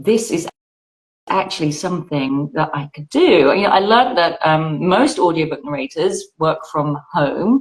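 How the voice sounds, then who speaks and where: With a British accent, a woman speaks in a fairly low voice. Her intonation is lively and her pace fairly slow. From Britain. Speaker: audiobook narrator. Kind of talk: interview.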